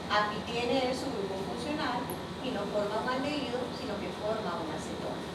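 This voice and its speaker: A woman's voice is heard with audible room echo. There is noticeable background noise as well. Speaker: biology teacher. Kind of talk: lecture.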